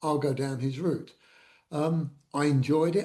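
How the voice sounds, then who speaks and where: This man has a fairly high pitch and a dark, mellow tone. He sounds somewhat breathy and keeps a moderate pace. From London area, England (Woodford, East London). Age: 70s. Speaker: retired former salesman, sole trader. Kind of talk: interview, personal life story. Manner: hesitant, many fillers (uh, um).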